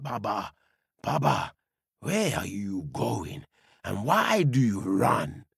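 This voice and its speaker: A man puts on a raspy character voice at a medium pitch. He talks very slowly, with long, frequent pauses. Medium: read story. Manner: calm, steady.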